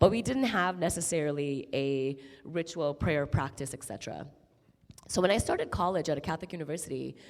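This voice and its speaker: At a fairly quick pace, a woman with an American accent speaks at a very deep, low pitch and with lively intonation. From Qatar and Chicago suburbs. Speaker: nonprofit executive. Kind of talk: panel conversation.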